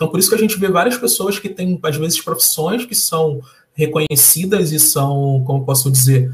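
Delivered at a moderate pace in a Carioca accent, the speech has lively intonation. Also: man. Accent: carioca Brazilian Portuguese. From Rio de Janeiro, Brazil. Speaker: software developer and social entrepreneur. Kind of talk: interview. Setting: live stream.

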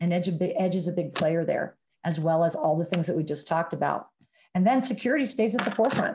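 Against a quiet background, a woman with an American accent talks in a somewhat breathy voice at fairly low pitch with ordinary pitch variation. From US Midwest, Ohio. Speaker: telecom sales executive. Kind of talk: interview.

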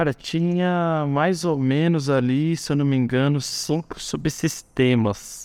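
Speaking at a very slow pace with hardly any pauses, a man holds a fairly high pitch, fairly even intonation and very even loudness over a quiet background. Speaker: university course coordinator, former student racing team member. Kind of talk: casual interview.

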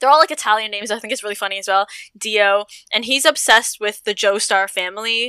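Talking at a very fast pace, a woman with a Canadian accent has a bright, sharp tone, a fairly high pitch and ordinary pitch variation, recorded with a dry, close sound and no echo. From Toronto, Canada. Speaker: stripper and aerialist, sex worker activist. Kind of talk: casual chat. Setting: video call.

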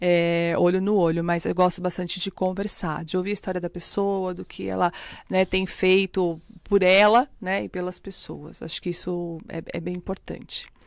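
A woman talks at a moderate pace in a medium pitch. Her intonation is monotone and flat. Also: very clean recording, silent background. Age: 40s. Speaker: bank executive and tutor. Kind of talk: podcast interview.

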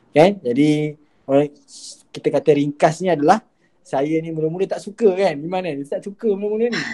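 A man talks at a fairly quick pace with a high pitch and a dark, mellow tone. His pitch varies in an ordinary way, and he takes long, frequent pauses. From Malaysia, Gombak, Selangor. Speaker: student club president. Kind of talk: podcast interview.

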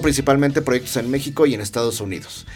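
A man talks very fast in a fairly high voice, his pitch moving in an ordinary way. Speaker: podcast host and design teacher. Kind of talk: casual chat. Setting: studio.

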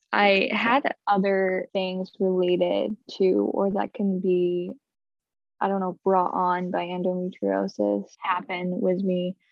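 A woman with an ordinary speaking voice and an American accent speaks at a fairly slow pace, medium in pitch, with fairly even intonation. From upstate New York. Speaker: stay-at-home mom sharing endometriosis story. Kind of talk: interview testimony.

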